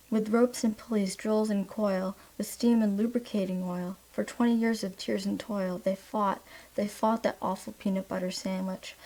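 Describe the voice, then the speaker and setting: Her delivery is flat and monotone at a moderate pace. The woman's medium-pitched voice is dark, mellow and somewhat breathy. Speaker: ASMR creator. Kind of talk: ASMR poetry reading. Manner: soft, relaxing.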